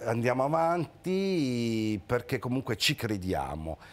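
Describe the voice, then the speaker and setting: Very slowly and with lively intonation, a man speaks on a very clean recording with a silent background. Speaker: theatre association president. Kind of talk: casual chat. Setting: studio.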